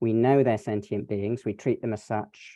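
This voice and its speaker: A plain, everyday voice from a man, medium in pitch, fairly quick, with fairly even intonation. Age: 60s. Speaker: environmental scientist. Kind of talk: online panel discussion.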